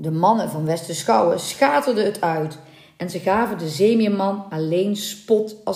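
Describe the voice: The text is read aloud plainly. Its pitch moves in an ordinary way.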